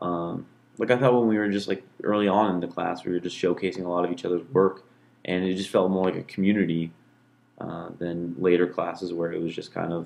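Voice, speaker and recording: Speaking at a fairly quick pace, a man uses a very deep, low pitch with fairly even intonation. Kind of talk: casual reflective monologue. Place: home room. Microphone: studio mic.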